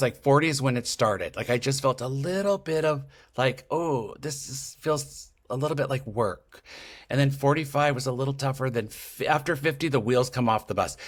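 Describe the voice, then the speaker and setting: On a very clean recording with a silent background, a man with a fairly high pitch speaks at a moderate pace in an animated tone with ordinary pitch variation. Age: 60s. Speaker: podcaster and intuitive. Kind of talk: podcast interview.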